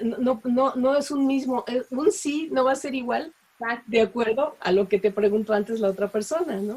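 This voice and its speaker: Her voice is high-pitched yet dark and mellow in tone. The woman speaks at a moderate pace. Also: ordinary pitch variation. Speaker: voice actor. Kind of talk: interview answer.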